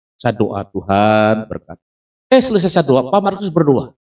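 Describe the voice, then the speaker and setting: The man's voice comes across dry and close with no echo, moving at a moderate pace. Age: 60s. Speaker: pastor. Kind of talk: sermon.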